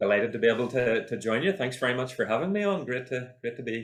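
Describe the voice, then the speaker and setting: An Irish accent marks this man's very fast speech with lively intonation. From Northern Ireland, County Armagh. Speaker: university lecturer in computing and mathematics. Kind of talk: podcast interview. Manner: hesitant, many repetitions.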